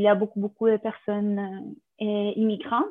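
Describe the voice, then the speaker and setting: A woman speaks at a moderate pace with a Spanish accent, her pitch fairly high. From Colombia. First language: Spanish (speaking French). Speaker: contemporary dancer and dance teacher. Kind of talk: interview testimony.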